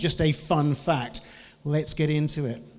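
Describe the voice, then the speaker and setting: A man's voice over music in the background. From New Zealand. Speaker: business trainer and lecturer. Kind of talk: conference talk. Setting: stage with audience.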